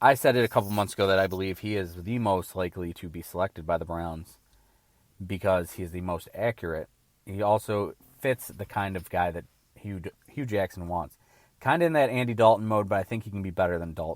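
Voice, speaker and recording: Fairly quick delivery with big swings in loudness and ordinary pitch variation, on a very clean recording with a silent background. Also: man, very deep, low pitch for a man. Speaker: sports podcast host. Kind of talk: solo sports commentary podcast. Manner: slurred, rushed; animated ranting.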